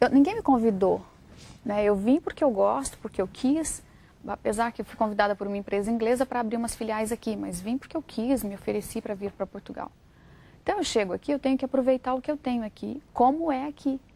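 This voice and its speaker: A woman's dark, mellow voice at a fairly high pitch and fairly quick pace, with ordinary pitch variation. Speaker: writer and journalist. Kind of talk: TV interview.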